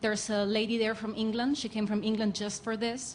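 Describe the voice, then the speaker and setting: With a Spanish accent, a somewhat breathy voice speaks in a monotone, flat intonation amid audible room echo. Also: woman. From Spain. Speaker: fan asking a question. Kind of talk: audience question. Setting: stage with audience. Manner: hesitant, many fillers.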